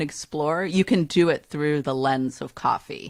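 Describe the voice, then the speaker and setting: On a very clean recording with a silent background and a dry, close sound with no echo, a woman speaks at a moderate pace with lively intonation. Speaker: fair trade advocate. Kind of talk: podcast interview.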